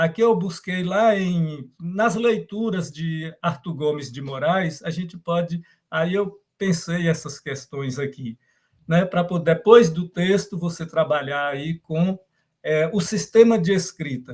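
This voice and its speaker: Very slowly, the words unfold with ordinary variation in pitch. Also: man, high pitch for a man. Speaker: professor. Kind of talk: lecture. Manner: halting.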